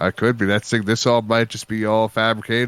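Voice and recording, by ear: A man's fairly low voice at a very fast pace, with fairly even intonation, in a very clean recording against a silent background.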